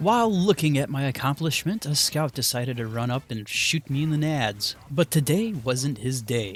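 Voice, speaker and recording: A man at a fairly high pitch with lively intonation, moderate pace and hardly any pauses, over music in the background. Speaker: gaming youtuber. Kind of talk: gameplay commentary narration.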